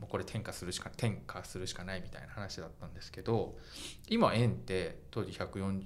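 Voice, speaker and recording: A man with a very deep, low voice and some vocal fry talks at a fairly quick pace with lively intonation, and audible echo fills the room. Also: big swings in loudness. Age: 40s. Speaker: fashion journalist and podcast host. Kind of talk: casual chat.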